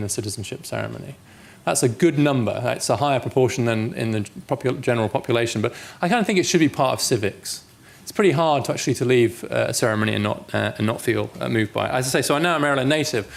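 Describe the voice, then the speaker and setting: Vocal fry at a very fast pace, with a British accent. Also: man. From England. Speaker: policy researcher and author. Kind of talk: public lecture. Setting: lecture hall with audience.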